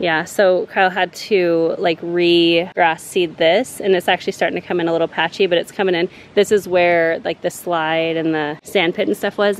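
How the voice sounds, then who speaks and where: With an ordinary speaking voice and fairly even intonation, a woman talks at a moderate pace over light background noise. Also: dry sound with no echo. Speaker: vlogger holding camera. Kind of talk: casual vlog chat. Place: garden. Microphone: phone near.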